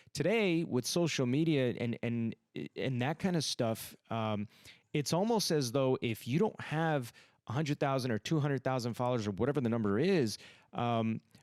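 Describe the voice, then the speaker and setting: A man with an ordinary speaking voice talks at a moderate pace and medium pitch, his intonation lively and his loudness very even. The sound is dry and close with no echo, in a very clean recording with a silent background. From US, came from Iran as a kid. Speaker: comedian. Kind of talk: casual chat.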